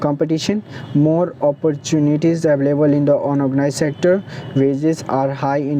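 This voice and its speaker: Noticeable background noise under a fairly quick pace. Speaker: teacher. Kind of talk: tutorial. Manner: fast; halting, frequent restarts and fillers.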